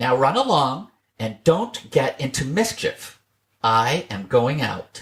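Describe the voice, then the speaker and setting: Putting on a character voice, a man speaks fairly high and at a fairly slow pace. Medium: read story. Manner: gentle, motherly.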